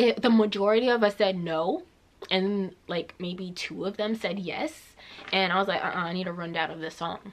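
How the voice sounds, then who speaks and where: Over noticeable background noise, a woman with a medium pitch speaks at a moderate pace in an animated tone with ordinary pitch variation. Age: 20s. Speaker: vlogger. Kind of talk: story time vlog. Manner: casual, animated.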